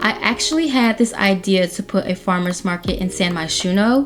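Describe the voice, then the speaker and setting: Noticeable background noise accompanies a woman who talks at a medium pitch and a moderate pace. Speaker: Sims game YouTuber. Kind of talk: voiceover commentary over speed build. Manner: stutters and trips over words; casual, chatty.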